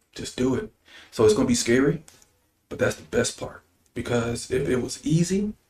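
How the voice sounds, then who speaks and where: Somewhat breathy, a man speaks with big swings in loudness and long, frequent pauses. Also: medium pitch for a man, lively intonation, moderate pace. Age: 40s. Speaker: state politician. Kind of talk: interview. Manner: animated.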